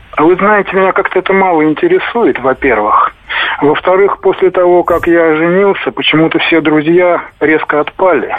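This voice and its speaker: Over noticeable background noise, a man with a high pitch speaks at a moderate pace, his loudness very even and his pitch variation ordinary. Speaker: caller; widower. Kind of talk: phone-in call. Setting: phone call.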